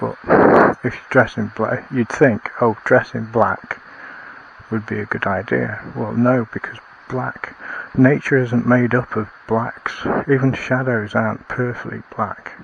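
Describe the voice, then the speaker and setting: With a Lancashire accent, a man speaks at a fairly slow pace and medium pitch in a flat monotone, over noticeable background noise. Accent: northern English (Lancashire). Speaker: outdoor vlogger. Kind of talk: casual vlog monologue. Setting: outdoors, woods at night. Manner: quiet, talking softly; rambling with hesitations.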